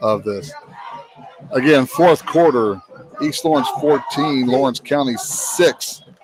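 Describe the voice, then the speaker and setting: Over noticeable background noise, a man speaks very slowly at a fairly high pitch. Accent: Alabama. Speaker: high school football play-by-play announcer. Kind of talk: live commentary. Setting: broadcast booth with headset. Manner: loud.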